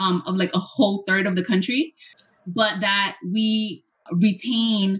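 An ordinary speaking voice from a woman, medium in pitch, with fairly even intonation. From Hoboken, New Jersey, US; Puerto Rican family. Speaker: professor. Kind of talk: interview, presenting with slides.

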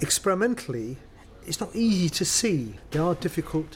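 With a London accent, this speaker moves at a moderate pace through very wide pitch swings. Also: man. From North London. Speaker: professor of materials chemistry. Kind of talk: interview.

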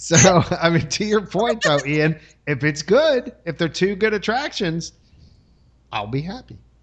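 With long, frequent pauses, a man speaks at a fairly slow pace in a high pitch, his tone animated and his pitch swinging very widely. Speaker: podcast host. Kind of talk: casual chat. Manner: animated, joking.

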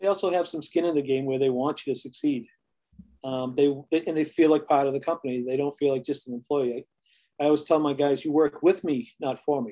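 A man's fairly high voice, dark and mellow in tone, with fairly even intonation. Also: fairly quick pace. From New England. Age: 50s. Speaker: home inspection business owner. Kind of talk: casual interview.

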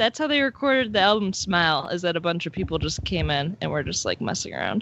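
Very fast speech with hardly any pauses, vocal fry and very wide pitch swings. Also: woman. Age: young. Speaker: podcast co-host. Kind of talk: casual chat; scripted intro narration.

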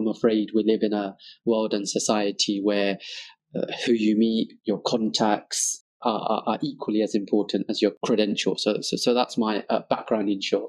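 At a moderate pace, a man talks in a fairly low, monotone voice with flat intonation. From East London, England (Tower Hamlets). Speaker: barrister and elected city official. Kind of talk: interview.

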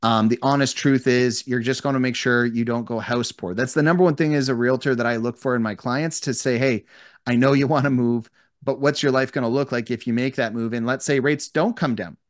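A man with a Canadian accent and a plain, everyday voice, medium in pitch, fairly quick and fairly even in intonation, against a quiet background. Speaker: real estate agent. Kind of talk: casual interview.

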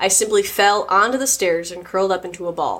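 A woman talks at a fairly quick pace and medium pitch, her tone playful and her intonation lively. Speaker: podcast host reading stories. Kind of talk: reading aloud horror narration, in a hushed, suspenseful storytelling voice. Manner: playful, laughing, casual banter outside the stories.

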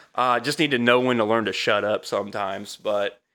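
With a bright, sharp tone, a man talks at a fairly quick pace in an American accent. The recording is very clean, with a silent background. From US Midwest, central Illinois (Altamont). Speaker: car salesman. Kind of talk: personal testimony in casual interview. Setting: home basement studio.

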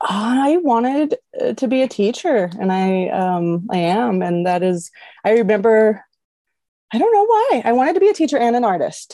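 Her tone is dark and mellow, her pitch fairly high with very wide swings. The woman talks at a moderate pace against a quiet background. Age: 40s. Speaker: life coach. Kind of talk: casual chat. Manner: animated.

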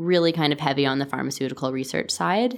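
Very fast and with vocal fry, a woman speaks in a very deep, low pitch with a Canadian accent. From Canada, Toronto. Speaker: company founder and CEO. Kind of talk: interview.

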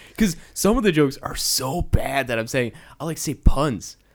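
This man has a plain, everyday voice with a fairly high pitch. He talks at a moderate pace with lively intonation. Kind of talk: casual comedy podcast chat. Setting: recording with microphone.

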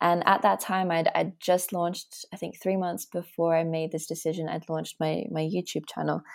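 A woman's fairly low voice in an Australian accent, flat and monotone, at a moderate pace with hardly any pauses. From Australia, Latvian family. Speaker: personal development coach and polyglot. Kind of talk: casual interview chat. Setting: remote call.

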